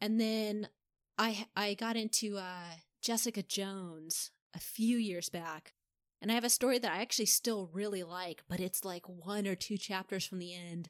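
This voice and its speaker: A woman with an unremarkable speaking voice and an American accent talks at a moderate pace and medium pitch. The recording is very clean, with a silent background. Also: fairly even intonation, dry, close sound with no echo. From US Midwest. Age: 30s. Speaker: fanfiction author and podcaster. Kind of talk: casual interview.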